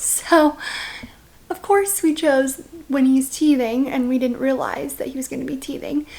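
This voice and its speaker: Quiet and fairly slow, a woman speaks at a high pitch amid noticeable background noise. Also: ordinary pitch variation. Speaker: vlogger, stay-at-home mom. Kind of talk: casual vlog talk to camera.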